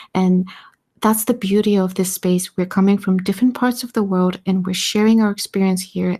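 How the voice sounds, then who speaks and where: The voice has a non-native accent, a dark, mellow tone and a somewhat breathy quality. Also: woman, very clean recording, silent background. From Eastern Europe. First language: not English. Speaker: community member on audio space. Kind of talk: live audio space discussion.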